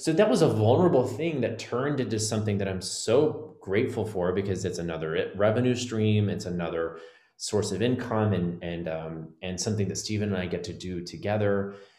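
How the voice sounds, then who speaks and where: Fairly low-pitched, a man talks fairly quickly with lively intonation and hardly any pauses. Room echo can be heard. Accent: American. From Texas. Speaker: Broadway actor and life coach. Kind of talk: casual interview.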